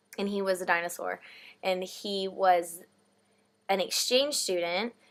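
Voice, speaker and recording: Fairly slow speech with a Texan accent. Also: woman, medium pitch for a woman, ordinary pitch variation. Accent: American (Texan). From Texas. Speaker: vlogger, theatre reviewer. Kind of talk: casual chat.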